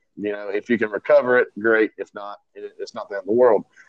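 The recording is dry and close with no echo as a man talks at a moderate pace. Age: 30s. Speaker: entrepreneur. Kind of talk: casual chat.

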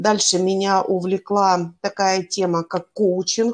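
Here a woman talks at a medium pitch and a very slow pace. The background is quiet. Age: 50s. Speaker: life coach. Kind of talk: casual interview.

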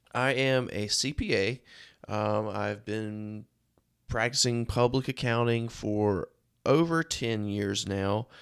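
On a very clean recording with a silent background, a man with an eastern North Carolina accent talks at a very slow pace, medium in pitch with ordinary variation. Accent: US Southern (eastern North Carolina). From North Carolina (Rocky Mount). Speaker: podcast host and accountant. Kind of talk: casual monologue.

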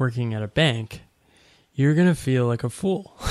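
A man with an unremarkable speaking voice, medium in pitch, at a fairly slow pace in a very clean recording with a silent background. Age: 30s. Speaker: writer and coach. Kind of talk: casual interview.

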